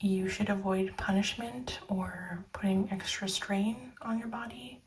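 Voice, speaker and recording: Soft-spoken and fairly slow, a woman talks at a medium pitch with lively intonation. Her tone is gentle and calm. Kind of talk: soft spoken tarot reading. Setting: ASMR recording. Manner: soft-spoken, gentle, calm.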